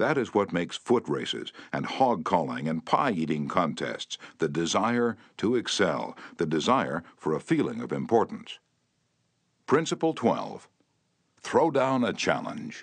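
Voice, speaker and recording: A man speaks at medium pitch with vocal fry and very wide pitch swings. He goes at a fairly slow pace, leaving long, frequent pauses. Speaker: audiobook narrator. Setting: studio. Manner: steady, formal, instructive; slows down and lists each principle in turn.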